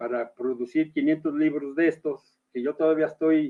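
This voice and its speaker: A man is speaking. His pitch swings very widely. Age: 60s. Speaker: writer and poet. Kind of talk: interview. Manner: halting.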